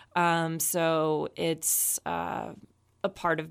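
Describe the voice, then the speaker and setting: In a very clean recording with a silent background, a woman speaks with a very deep, low pitch and monotone, flat intonation. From Texas, Dallas-Fort Worth area. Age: 20s. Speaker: chef. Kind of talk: interview.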